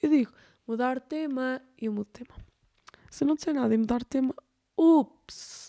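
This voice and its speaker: A woman at a high pitch and moderate pace, with ordinary pitch variation and long, frequent pauses. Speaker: podcast host. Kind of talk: casual chat. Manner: halting, many fillers.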